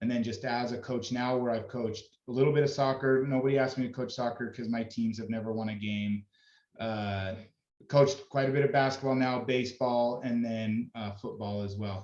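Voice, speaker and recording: Speaking at a fairly quick pace, a man lets his pitch vary in an ordinary way. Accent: Utah. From Utah, Davis County. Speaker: youth sports coach. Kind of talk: team meeting talk to parents. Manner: loud; casual, halting.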